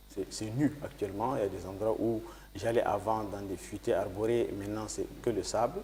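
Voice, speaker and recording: At a fairly slow pace, a man with a fairly low, dark, mellow voice sounds somewhat breathy, his intonation fairly even. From Chad (Batha region, grew up also in N'Djamena). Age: 60s. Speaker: politician and former journalist. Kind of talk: TV interview.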